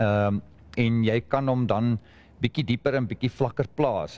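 A man with a South African accent, medium pitch, a dark, mellow tone and ordinary pitch variation. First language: Afrikaans. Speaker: fertilizer specialist. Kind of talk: panel discussion. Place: hall.

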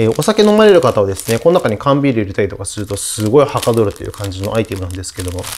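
A man's voice moves in very wide pitch swings. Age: 40s. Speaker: musician and video creator; video creator. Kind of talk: casual chat. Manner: animated. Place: home room. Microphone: lapel.

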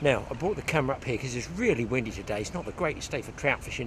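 A man talks at a very fast pace in a dry sound with no echo, with noticeable background noise behind him. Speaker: fly fishing instructor. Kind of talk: tutorial. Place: waterside. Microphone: phone near.

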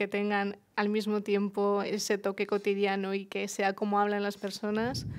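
The background is quiet. A woman speaks at a medium pitch. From Murcia, Spain; Spain. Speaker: journalist and writer; journalist. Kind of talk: panel discussion. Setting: bookshop event with audience. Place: shop. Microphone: headset.

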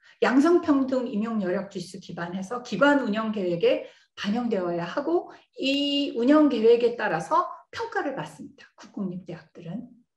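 In a room with audible echo, a woman's high-pitched voice makes very wide pitch swings and big swings in loudness. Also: moderate pace. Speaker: computer science professor. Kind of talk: lecture.

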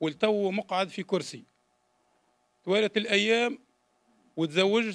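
A man speaks at a high pitch. The background is quiet. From Tunisia, Jendouba; Tunisia. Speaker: former political prisoner giving testimony; witness. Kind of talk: public testimony. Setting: public hearing. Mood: grave, aggrieved personal account. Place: hall. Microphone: podium.

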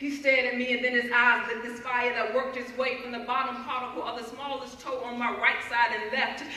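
Speaking fairly quickly with hardly any pauses, a woman uses a high pitch and a monotone, flat intonation amid audible room echo. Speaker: spoken word poet. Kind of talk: spoken word poetry performance. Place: hall. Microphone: camera far.

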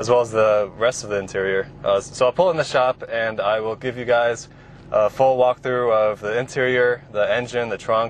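On a dry recording with no echo and light background noise, a man speaks at a moderate pace with fairly even intonation. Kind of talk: casual review commentary. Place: car.

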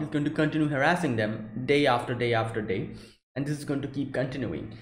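Audible room echo surrounds a man's somewhat breathy voice, which has ordinary pitch variation. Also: quiet background. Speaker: anime reaction youtuber. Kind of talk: casual commentary. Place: home room. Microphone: headset.

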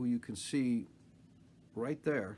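A man's voice, with pitch varying in an ordinary way, comes over slight background noise. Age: 60s. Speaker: retired television producer. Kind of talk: casual talk to camera. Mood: warm, reflective, nostalgic. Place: home room. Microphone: phone near.

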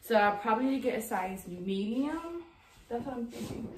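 The delivery has lively intonation at a moderate pace. Noticeable background noise is present. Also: woman. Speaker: fashion vlogger. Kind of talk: casual vlog chat. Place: empty room.

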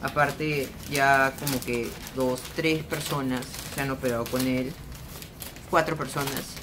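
The speaker, with a Peruvian accent, talks at a very slow pace in a flat monotone. Noticeable noise is present in the background. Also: man. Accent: Peruvian Spanish (Lima). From Peru, Lima. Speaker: vlogger. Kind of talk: casual vlog monologue. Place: home room. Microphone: phone near.

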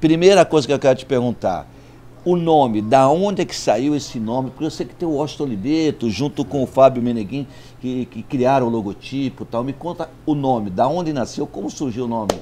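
A man with a dark, mellow tone, ordinary pitch variation and a fairly quick pace. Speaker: magazine host interviewer. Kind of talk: interview introduction and questions. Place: cafe. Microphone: lapel.

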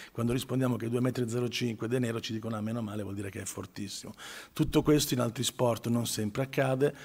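This man speaks very fast in a flat, monotone delivery. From northern Italy, Milan; northern Italy. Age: 50s. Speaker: sports marketing manager. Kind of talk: press conference speech. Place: hall. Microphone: handheld.

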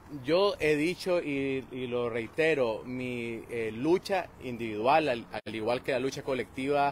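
The sound is dry with no echo, with ordinary pitch variation and light background noise. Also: man. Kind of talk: interview answer. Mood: serious, measured. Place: street. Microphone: phone near.

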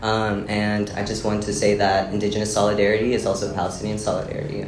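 Fairly low-pitched male speech, fairly quick, with monotone, flat intonation and noticeable background noise. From South America. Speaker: presenter; panelist. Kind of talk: lecture. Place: classroom. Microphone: camera far.

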